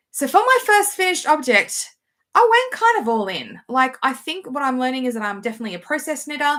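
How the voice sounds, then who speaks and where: The recording is very clean, with a silent background. A woman speaks at a moderate pace in a bright, sharp tone, her intonation lively. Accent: Australian. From Australia. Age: 40s. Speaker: knitting vlogger and teacher. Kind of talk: casual vlog chat.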